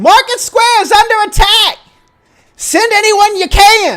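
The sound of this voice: This put-on character voice sits at an extremely high pitch. It moves at a fairly slow pace.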